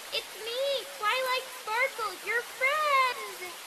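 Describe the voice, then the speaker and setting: An extremely high, squeaky, cartoonish character voice speaks very slowly over loud background noise. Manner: overly sweet, eager.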